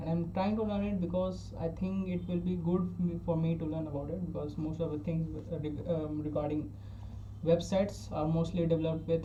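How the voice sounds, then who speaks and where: A man with an Indian accent speaks at a fairly quick pace, his pitch fairly high and swinging very widely. Audible room echo and noticeable background noise surround his voice. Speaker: self-taught programming learner. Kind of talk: casual tutorial. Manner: halting, with frequent restarts.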